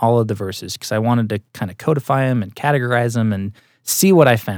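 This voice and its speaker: In a very clean recording with a silent background and a dry, close sound with no echo, a man with a plain, everyday voice talks at a fairly quick pace, at a medium pitch with ordinary pitch variation. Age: 30s. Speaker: TV and film producer. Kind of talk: interview.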